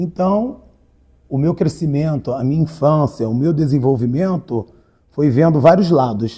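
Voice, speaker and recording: Somewhat breathy and dark, mellow in tone, a man talks at a fairly slow pace with a fairly high pitch. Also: ordinary pitch variation. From Rio de Janeiro, Brazil. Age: 40s. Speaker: writer and community activist. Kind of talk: interview.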